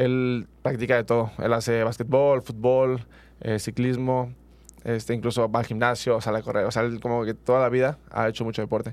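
Monotone and flat, a man's medium-pitched voice moves at a moderate pace. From Mexico, Michoacán. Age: 20s. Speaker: track athlete. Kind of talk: interview. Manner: halting.

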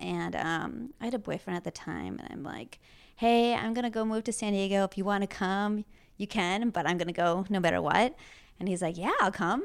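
On a very clean recording with a silent background, a woman talks fairly quickly at a medium pitch in a plain, everyday voice with ordinary pitch variation. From Green Bay, Wisconsin. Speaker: fashion influencer and stylist. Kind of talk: casual interview.

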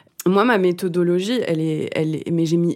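Over music in the background, a woman speaks at a moderate pace with a fairly low pitch and fairly even intonation. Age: 30s. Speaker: musician and songwriter. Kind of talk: casual interview. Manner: halting, many fillers.

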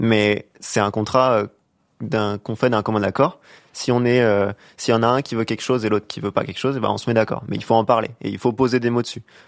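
In an unremarkable speaking voice, a man talks at a fairly quick pace with medium pitch and fairly even intonation, on a very clean recording with a silent background. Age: young. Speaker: panelist giving a man's view. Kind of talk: casual chat.

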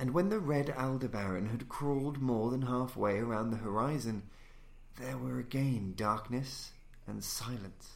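An unremarkable speaking voice from a man at medium pitch, ordinary pitch variation and a fairly slow pace. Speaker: audiobook narrator. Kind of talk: literary audiobook reading of a gothic horror story. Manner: formal, theatrical, ominous.

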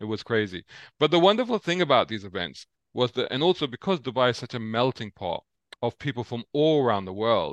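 A man with a London accent, medium pitch, fairly quick pace and lively intonation, in a dry, close sound with no echo over a quiet background. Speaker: motoring journalist. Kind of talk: interview.

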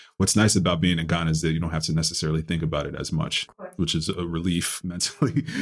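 Someone with a New York accent talks at a very fast pace with fairly even intonation. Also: man, very deep, low pitch for a man. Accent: New York American. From Bronx, New York. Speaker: chef. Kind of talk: casual interview chat.

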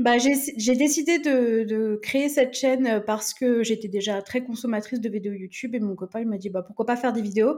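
Here a woman has an ordinary speaking voice with a fairly high pitch and ordinary pitch variation. She talks at a moderate pace with hardly any pauses. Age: 30s. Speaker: influencer. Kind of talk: casual chat.

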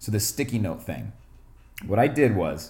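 The pace is fairly quick, with ordinary pitch variation. Vocal fry runs through the voice. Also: man. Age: 20s. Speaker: self-help podcast host. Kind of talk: casual monologue. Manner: conversational with frequent fillers.

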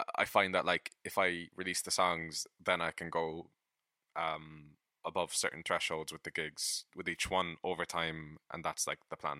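A man with a very deep, low pitch and a bright, sharp tone speaks fairly slowly in an Irish accent, with monotone, flat intonation and a dry, close sound with no echo. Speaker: podcast co-host and musician. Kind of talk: casual chat. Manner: halting.

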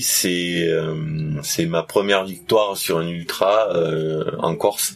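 A man's very deep, low voice in a southern French accent, with noticeable background noise. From southern France. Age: 40s. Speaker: trail runner, history-geography teacher. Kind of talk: interview. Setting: at a race event in Canada.

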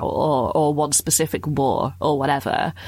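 A woman speaks in a British accent with a very deep, low pitch. The recording is very clean, with a silent background. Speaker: podcast host, also radio presenter. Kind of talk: casual chat, comedy podcast.

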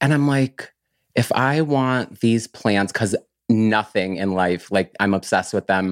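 A man's normal speaking voice with an American accent, fairly low in pitch with ordinary pitch variation, at a fairly slow pace, in dry, close sound with no echo. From US countryside. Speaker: plant grower and business owner. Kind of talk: casual interview.

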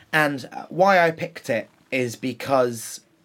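A man with a medium pitch and an unremarkable speaking voice speaks with lively intonation. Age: 30s. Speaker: drag cabaret performer. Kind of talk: casual interview chat.

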